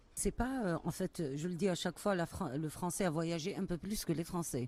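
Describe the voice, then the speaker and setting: Over a very clean recording with a silent background, a woman talks at a fairly low pitch and a moderate pace. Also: ordinary pitch variation. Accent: Algerian. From Algeria, Kabylie. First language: Kabyle (speaking French). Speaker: poet. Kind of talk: interview. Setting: book festival. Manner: hesitant, many fillers.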